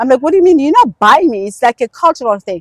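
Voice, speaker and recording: A woman speaks with a Zulu accent and very wide pitch swings. The sound is dry and close, with no echo. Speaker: podcast guest. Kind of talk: casual chat. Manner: casual, halting with fillers.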